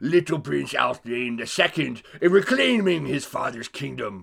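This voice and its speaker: At a moderate pace, a man puts on a character voice. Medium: actual play.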